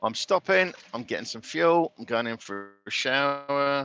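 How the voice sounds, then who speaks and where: Bright, sharp tone and lively intonation, dry and close with no echo, over a quiet background. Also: man. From Britain. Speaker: truck driver. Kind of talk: live stream chat while driving. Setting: in a truck cab. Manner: casual, rambling.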